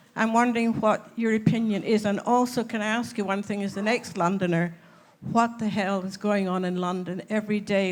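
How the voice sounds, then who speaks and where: A woman with a Scottish accent talks at a moderate pace in a medium pitch, with fairly even intonation. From Scotland. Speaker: audience member. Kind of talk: audience question. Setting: conference hall with audience. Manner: halting.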